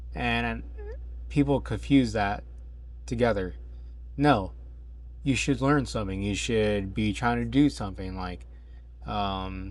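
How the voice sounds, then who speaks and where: A man's very deep, low pitch with very wide pitch swings, a fairly slow pace and long, frequent pauses, in audible room echo. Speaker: fitness vlogger on weight loss journey. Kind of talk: casual vlog monologue. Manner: halting, with fillers.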